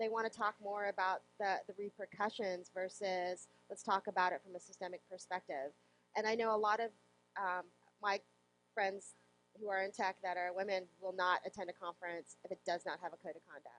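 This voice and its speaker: Fairly quick woman's voice of medium pitch, fairly even in intonation, dry and close with no echo, over music in the background. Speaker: software developer and conference speaker. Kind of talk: interview.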